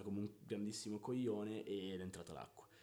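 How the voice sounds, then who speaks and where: Speaking very fast, a man uses a dark, mellow tone at a fairly low pitch. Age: 20s. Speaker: podcast co-host. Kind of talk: casual chat. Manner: animated.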